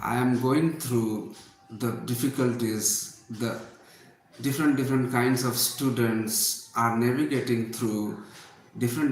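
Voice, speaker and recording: In an Indian accent, a man speaks at a fairly slow pace with medium pitch and fairly even intonation. Room echo is audible, and background noise is noticeable. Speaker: English teacher. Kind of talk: live online class. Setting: livestream.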